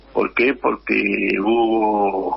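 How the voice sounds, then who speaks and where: Noticeable background noise fills the clip. A man is speaking. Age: 70s. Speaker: union leader. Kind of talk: radio interview.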